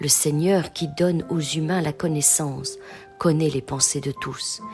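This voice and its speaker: Over music in the background, the voice moves at a very slow pace in a soothing, calm tone with ordinary pitch variation. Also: woman. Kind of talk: bedtime scripture reading.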